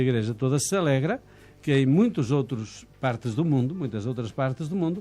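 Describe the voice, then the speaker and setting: A man with a European Portuguese accent, his tone dark and mellow, his intonation lively and his pace fairly quick. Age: 70s. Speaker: missionary priest. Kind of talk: interview.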